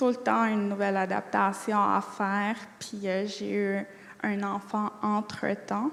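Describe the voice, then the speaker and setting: In a Quebec accent, a woman speaks at a very slow pace with monotone, flat intonation. Her pitch is medium, and there is noticeable background noise. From Atikamekw community, Quebec. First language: Atikamekw (speaking French). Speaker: college student. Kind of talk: interview. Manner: hesitant; fluent.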